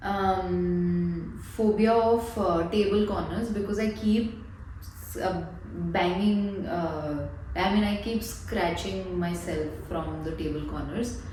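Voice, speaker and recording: The speech moves at a very slow pace, with noticeable background noise and audible room echo. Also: woman. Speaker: counselling psychologist. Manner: hesitant, many fillers.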